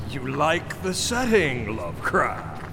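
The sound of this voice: Through clear background noise, a man puts on a character voice at medium pitch, slow, with vocal fry and very wide pitch swings.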